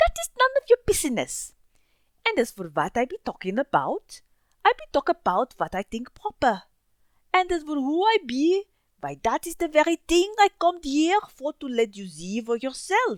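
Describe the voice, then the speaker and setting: A woman's put-on character voice, gruff and high-pitched, with very wide pitch swings at a moderate pace. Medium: read story. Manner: gruff, blustering, broken grammar.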